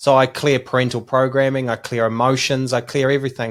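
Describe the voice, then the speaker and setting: In a New Zealand accent, a man talks at a fairly quick pace with a medium pitch, captured in a very clean recording with a silent background. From New Zealand, small country town. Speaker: business coach. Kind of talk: podcast interview.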